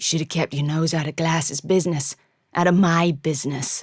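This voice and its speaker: A growling, very deep, low woman's voice at a moderate pace, with fairly even intonation. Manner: hard, cruel, threatening.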